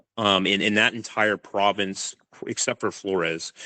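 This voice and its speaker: With a General American accent, a man talks at a moderate pace and a fairly low pitch, the sound dry and close with no echo. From California, US. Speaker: crocodile attack researcher. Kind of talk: podcast interview. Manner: hesitant, many fillers.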